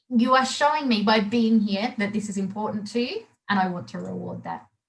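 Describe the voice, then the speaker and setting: Somewhat breathy woman's voice, fairly high in pitch, with fairly even intonation. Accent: Australian. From Australia. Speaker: body language trainer. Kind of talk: webinar presentation. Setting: live webinar. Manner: halting.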